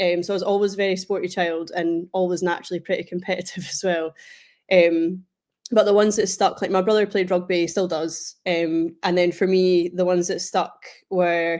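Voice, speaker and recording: A woman's medium-pitched voice with a Scottish accent, monotone and flat, at a moderate pace. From Scotland, Kinross (Perth and Kinross). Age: 20s. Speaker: international powerlifter. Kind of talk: podcast interview.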